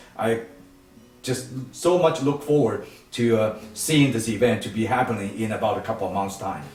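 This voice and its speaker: A man at medium pitch and a moderate pace, with ordinary pitch variation, audible room echo and music in the background. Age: 70s. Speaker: nonprofit foundation leader. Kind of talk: interview. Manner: halting, many fillers and restarts.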